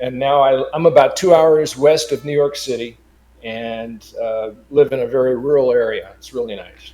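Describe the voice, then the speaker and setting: With a West Coast American accent, a man speaks at a medium pitch with ordinary pitch variation while music plays in the background. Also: moderate pace, big swings in loudness. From Los Angeles, California. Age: 70s. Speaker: digital artist. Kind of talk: interview.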